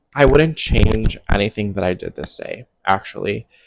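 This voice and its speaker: On a very clean recording with a silent background and a dry, close sound with no echo, a soft-spoken man talks fairly slowly at a fairly low pitch. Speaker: music festival attendee and commentary vlogger. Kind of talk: casual talk to camera, festival commentary. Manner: soft-spoken, relaxed, conversational.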